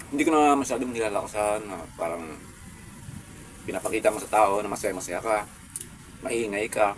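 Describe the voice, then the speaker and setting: A man with a fairly low pitch, at a fairly quick pace with long, frequent pauses and ordinary pitch variation. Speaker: food vlogger. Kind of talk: mukbang vlog. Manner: calm, subdued.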